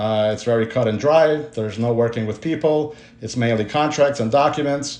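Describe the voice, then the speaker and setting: Pitch shifts in an ordinary way as the words come at a fairly quick pace. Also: man. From Brooklyn, New York (immigrated from Ukraine at 13). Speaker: personal injury lawyer. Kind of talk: personal story, promotional talk. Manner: hesitant, many fillers.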